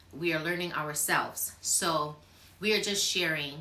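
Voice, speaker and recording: A woman at a moderate pace with lively intonation, plus noticeable background noise and audible room echo. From Barbados. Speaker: YouTuber. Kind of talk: casual chat.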